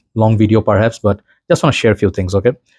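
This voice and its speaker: A man's fairly low voice, in a dry sound with no echo and a quiet background. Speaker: perfume reviewer. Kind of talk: casual vlog chat. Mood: warm, reflective. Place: home room.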